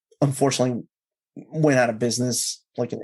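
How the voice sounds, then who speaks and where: A man with a Spanish accent speaks at a fairly quick pace, his medium pitch held in a fairly even intonation. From Peru. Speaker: YouTuber. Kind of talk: interview.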